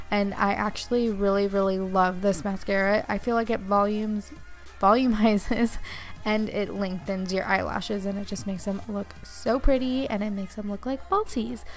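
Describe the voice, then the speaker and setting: Over music in the background, a woman talks at a moderate pace with a medium pitch and fairly even intonation. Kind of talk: makeup tutorial talk to camera. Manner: monotone.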